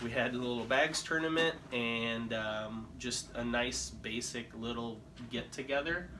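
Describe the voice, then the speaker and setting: A man with a Midwestern US accent, fairly slow and fairly even in intonation, amid noticeable background noise and audible room echo. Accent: US Midwest. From Philippines, then Illinois from age 11. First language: Tagalog. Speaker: insurance agent. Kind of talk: casual interview.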